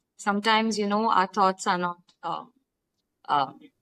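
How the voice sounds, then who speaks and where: A woman speaks with a Pakistani accent. The sound is dry and close, with no echo. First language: Urdu. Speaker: writer. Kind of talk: casual chat. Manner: halting.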